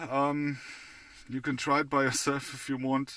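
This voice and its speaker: A man with a non-native accent speaks at a fairly slow pace, with medium pitch and a bright, sharp tone. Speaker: product reviewer. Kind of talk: product review. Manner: halting, many fillers.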